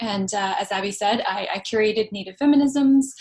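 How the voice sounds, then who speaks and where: The speaker is a woman with a medium pitch. A somewhat breathy quality runs through her voice. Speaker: art historian and curator. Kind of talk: talk introduction.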